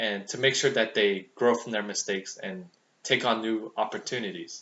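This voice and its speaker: Speaking at a moderate pace, a man with an American accent has a medium pitch, ordinary pitch variation, and a normal speaking voice. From US, Vietnamese American family. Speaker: student. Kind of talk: speech. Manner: formal.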